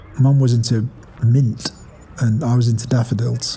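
At a fairly slow pace, a man with a medium pitch delivers his words in a monotone, flat intonation. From northern England, Ashton-under-Lyne, Greater Manchester. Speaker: arts director. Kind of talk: personal testimony. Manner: reflective, conversational.

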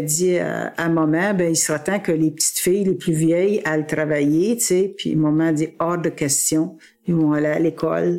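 Fairly slow and fairly even in intonation, a woman talks with a fairly low pitch over noticeable background noise. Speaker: family member interviewee. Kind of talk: interview.

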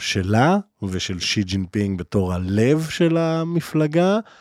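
Speaking at a very slow pace, a man keeps a medium pitch and lively intonation. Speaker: podcast host. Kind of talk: interview. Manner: halting, many fillers.

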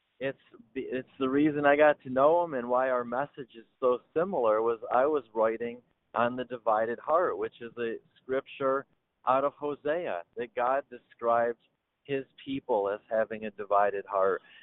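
This man talks at a moderate pace with an Upper Midwest accent. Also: medium pitch for a man, ordinary pitch variation. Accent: Upper Midwest American. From Michigan. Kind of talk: interview. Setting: phone or video call.

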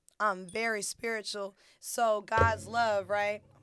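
Her pitch sits in the middle range for a woman. This woman's intonation stays flat and monotone. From North Carolina (Fayetteville). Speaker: podcast co-host. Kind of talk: casual chat.

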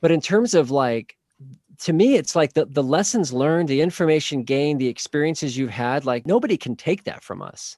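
A man with an American accent speaks fairly quickly in an unremarkable speaking voice, pitched fairly high. His intonation is lively, and the sound is dry and close with no echo against a quiet background. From Oklahoma. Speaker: marriage and family therapist. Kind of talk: interview.

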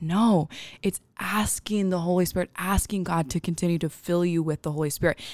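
A plain, everyday voice comes from a woman with fairly low pitch and ordinary pitch variation. The recording is very clean with a silent background, and the sound is dry and close with no echo. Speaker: podcast co-host. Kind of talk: podcast Bible study discussion. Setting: studio.

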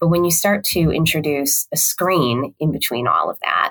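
Dry, close sound with no echo carries a Midwestern US accent. The pace is moderate. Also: woman. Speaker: communications executive. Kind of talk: casual interview.

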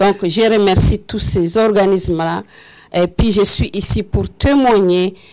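This woman's fairly even intonation stays at a medium pitch as she talks at a very slow pace. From Rwanda. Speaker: HIV patient advocate. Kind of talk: testimony. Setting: radio studio with live audience.

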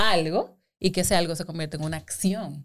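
On a very clean recording with a silent background, a woman with an ordinary speaking voice and a fairly low pitch talks at a moderate pace. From Dominican Republic. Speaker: digital marketing and advertising professional. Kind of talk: casual chat.

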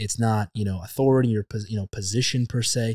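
Recorded very cleanly against a silent background, a man with an ordinary speaking voice talks at medium pitch and moderate pace with fairly even intonation. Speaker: podcast host. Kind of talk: casual interview.

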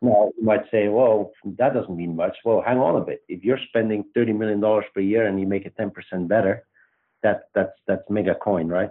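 A man speaks with a Belgian accent and fairly even intonation. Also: fairly low pitch for a man, moderate pace. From Belgium. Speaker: startup CEO and co-founder. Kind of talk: interview.

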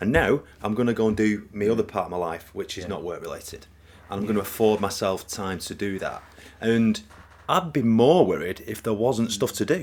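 In a northern English accent, a man with a fairly low voice speaks at a fairly quick pace with lively intonation. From northern England. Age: 40s. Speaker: podcast co-host. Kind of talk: casual chat. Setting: home recording.

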